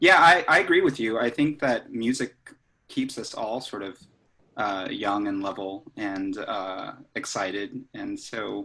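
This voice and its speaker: A man with an American accent talks at a fairly slow pace, with big swings in loudness. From Los Angeles. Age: 60s. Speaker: jazz musician. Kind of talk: casual interview.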